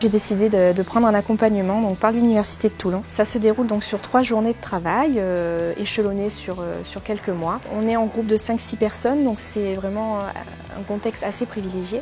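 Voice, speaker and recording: With music in the background, a woman speaks at a moderate pace and a medium pitch, her intonation fairly even. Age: 20s. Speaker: adult learner. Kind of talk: testimony.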